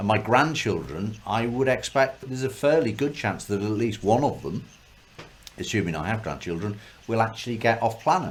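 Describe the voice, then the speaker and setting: Against noticeable background noise, a man talks at medium pitch. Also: lively intonation, moderate pace. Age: 50s. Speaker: podcast host. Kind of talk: casual chat.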